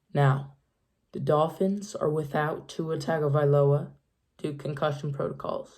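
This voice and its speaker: A woman's very deep, low voice, dark and mellow in tone, somewhat breathy, at a fairly slow pace. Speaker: sports YouTuber. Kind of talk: NFL picks commentary. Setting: at home, late night. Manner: quiet.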